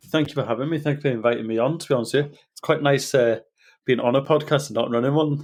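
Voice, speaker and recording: A man with a Welsh accent talks very fast in a fairly high voice, his intonation fairly even. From North Wales. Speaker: nutritionist and personal trainer. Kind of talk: casual interview. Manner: halting, repeats words.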